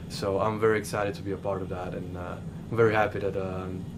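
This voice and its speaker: With audible room echo, a man talks at a fairly low pitch in monotone, flat intonation. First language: Serbian. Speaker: college basketball player. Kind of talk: press interview. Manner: halting.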